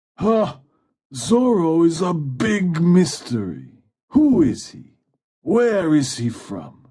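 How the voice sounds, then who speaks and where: Using a put-on character voice, a man speaks at a high pitch with very wide pitch swings. His pace is very slow, and his loudness swings widely. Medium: read story. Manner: brash, self-assured.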